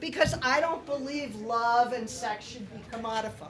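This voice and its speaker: A woman's high-pitched voice amid noticeable background noise and audible room echo. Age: 60s. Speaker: playwright. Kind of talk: casual chat.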